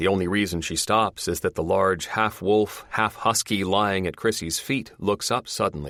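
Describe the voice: The clip is simply someone reading aloud in a plain way.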